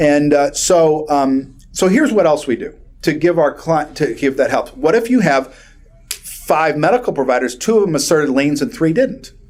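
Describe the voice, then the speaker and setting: This man's voice sits at a fairly high pitch. His intonation is lively. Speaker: personal injury lawyer. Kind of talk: continuing legal education lecture. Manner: fast; animated.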